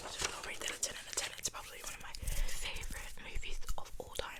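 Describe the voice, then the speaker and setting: Whispering from a woman against noticeable background noise. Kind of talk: ASMR whisper video, casual talk to camera. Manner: whispered, soft.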